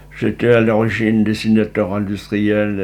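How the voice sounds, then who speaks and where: The speaker is a man. His delivery is fairly slow. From Normandy, Rouen. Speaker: retired engineer. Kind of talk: interview testimony.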